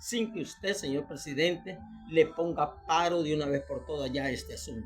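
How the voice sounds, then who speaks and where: With a Salvadoran accent, a man speaks at a moderate pace with a high pitch and lively intonation. Music plays in the background. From El Salvador. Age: 60s. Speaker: retiree and citizen commentator. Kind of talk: video monologue appeal to the president. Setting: self-recorded video for Facebook.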